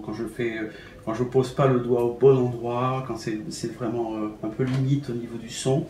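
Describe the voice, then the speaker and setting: Music plays in the background amid audible room echo. A man speaks at a medium pitch and a fairly slow pace, with fairly even intonation. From Algeria, raised in France from childhood. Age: 60s. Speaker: concert pianist. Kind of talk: interview. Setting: at his home. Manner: halting, many hesitations and repetitions.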